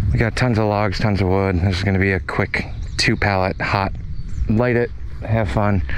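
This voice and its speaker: The man talks at a moderate pace with ordinary pitch variation. The sound is dry with no echo, and there is light background noise. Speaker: property owner hosting a party. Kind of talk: casual vlog chat. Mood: relaxed, upbeat. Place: open country. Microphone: phone near.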